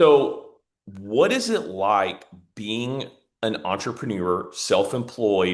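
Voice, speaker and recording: A man with a Southern US accent, at a very slow pace. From US South, Mississippi. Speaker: podcast host. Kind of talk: interview conversation.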